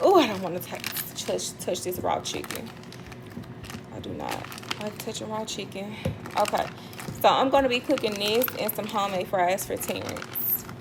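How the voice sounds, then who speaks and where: A woman's medium-pitched voice with long, frequent pauses and big swings in loudness, in audible room echo over noticeable background noise. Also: ordinary pitch variation, moderate pace. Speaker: lifestyle vlogger. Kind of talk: casual vlog narration while cooking. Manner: casual, conversational.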